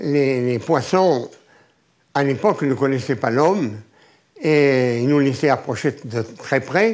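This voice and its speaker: A man's very slow speech, with lively intonation, very even loudness, long, frequent pauses and a quiet background. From Marseille, France. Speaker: veteran spearfisher and ship captain. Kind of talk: interview recollection. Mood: animated, storytelling. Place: home room. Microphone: lapel.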